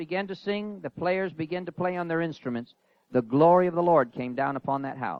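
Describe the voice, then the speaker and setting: Talking at a fairly quick pace, a man speaks with a high pitch. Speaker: pastor. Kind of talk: sermon.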